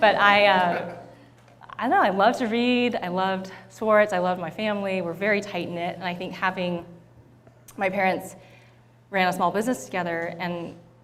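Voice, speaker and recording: Audible room echo surrounds a woman speaking at a fairly quick pace with a General American accent. Her medium-pitched voice keeps fairly even intonation. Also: long, frequent pauses. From US West Coast, San Diego California. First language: Thai. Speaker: tech company startup program leader. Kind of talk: onstage interview. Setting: stage with audience.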